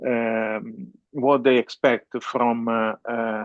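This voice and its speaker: With an Italian accent, a man speaks in a monotone, flat intonation. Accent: non-native English, Italian. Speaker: webinar host, business consultant. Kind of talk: business webinar presentation. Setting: online webinar. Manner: halting, many fillers.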